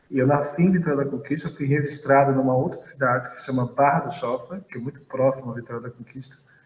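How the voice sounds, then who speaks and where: With hardly any pauses, a man talks at a very fast pace and a fairly high pitch, his intonation fairly even and his loudness swinging widely against noticeable background noise. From Bahia, Brazil (Feira de Santana). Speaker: physics professor and astrophysicist. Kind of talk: interview.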